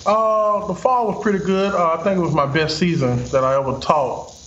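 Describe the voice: A man talks at a moderate pace with a high pitch, a fairly bright tone, and ordinary pitch variation. Room echo is audible.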